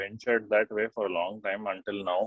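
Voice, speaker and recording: A man's voice sits at a medium pitch, and his intonation stays fairly even. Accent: Indian. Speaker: journalist and oral historian. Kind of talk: interview answer.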